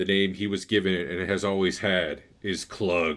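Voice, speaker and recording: A man speaks at a moderate pace in a put-on character voice, booming and very deep, with fairly even intonation. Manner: commanding, resonant.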